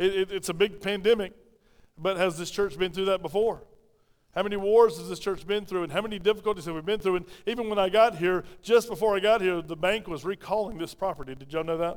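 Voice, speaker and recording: Talking at a very fast pace, a man with a South Carolina accent uses a high pitch and fairly even intonation. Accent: Southern US (South Carolina). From South Carolina (Pauline). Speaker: pastor. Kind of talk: sermon. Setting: church. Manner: fast talker; mumbles, clips words.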